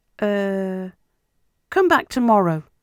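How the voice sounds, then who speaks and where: A squeaky, put-on character voice, raised and projected, at a middle pitch. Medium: read story. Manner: hesitant, apologetic.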